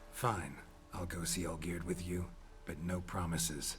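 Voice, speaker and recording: Clear background noise sits behind a man doing a put-on character voice. He speaks at a moderate pace with a very deep pitch in a deadpan tone. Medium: video game. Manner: terse, dry, deadpan.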